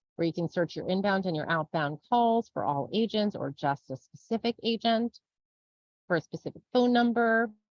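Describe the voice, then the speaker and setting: This woman has a medium pitch. Her intonation is lively. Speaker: software trainer. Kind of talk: webinar tutorial. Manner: fast; casual.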